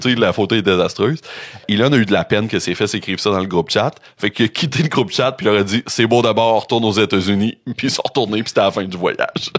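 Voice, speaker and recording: With a Quebec accent, a man talks very fast at a fairly low pitch with ordinary pitch variation. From Quebec, Rimouski (Bas-Saint-Laurent). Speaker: podcast host presenting researched topic. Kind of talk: casual chat presenting a researched story. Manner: conversational, with frequent fillers (euh).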